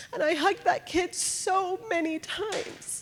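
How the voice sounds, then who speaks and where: A woman speaks with ordinary pitch variation. Noticeable background noise sits under her voice. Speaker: foster parent. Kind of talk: testimony.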